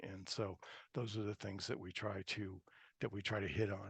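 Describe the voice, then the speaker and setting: The speech moves at a fairly quick pace. The sound is dry and close with no echo, against a quiet background. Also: man. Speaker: presenter at a GIS webinar. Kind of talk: webinar presentation. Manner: fast.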